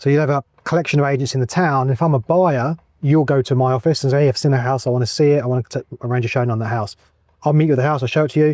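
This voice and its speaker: This man talks at a very fast pace with an English accent and a fairly high pitch. His intonation stays fairly even, and the sound is dry and close with no echo. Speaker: real estate agent. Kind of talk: casual interview. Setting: outdoors in a golf cart.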